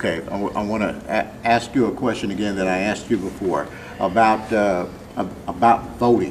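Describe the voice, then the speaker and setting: Here is a man with an ordinary speaking voice, fairly low in pitch. He keeps a moderate pace and fairly even intonation. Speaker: interviewer.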